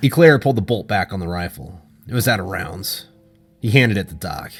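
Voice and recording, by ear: Over faint background music, a man puts on a character voice that is low-pitched and fairly bright with a slightly husky edge, moving at a fairly quick pace with lively intonation.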